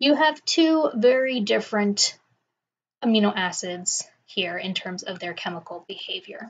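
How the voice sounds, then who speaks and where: At a fairly slow pace, a woman with a fairly high pitch sounds somewhat breathy, showing very wide pitch swings and big swings in loudness. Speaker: professor. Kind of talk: lecture. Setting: quiet recording.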